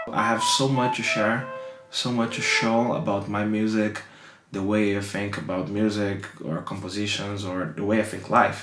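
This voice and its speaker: Speaking with a Brazilian accent at a moderate pace and with fairly even intonation, this voice comes through noticeable background noise and audible room echo. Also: man. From Brazil, São Paulo. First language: Portuguese. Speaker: saxophonist. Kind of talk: documentary interview.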